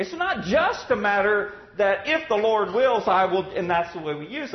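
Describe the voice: A man at a high pitch, with big pitch swings and audible room echo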